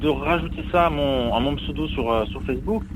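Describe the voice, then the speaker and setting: Noticeable noise and audible room echo accompany a man speaking at a moderate tempo. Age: young. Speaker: motorcyclist. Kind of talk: interview.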